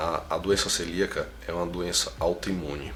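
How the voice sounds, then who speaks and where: A man's very deep, low voice at a moderate pace, with audible room echo and noticeable background noise. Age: 30s. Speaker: founder of a patient advocacy movement. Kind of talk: interview.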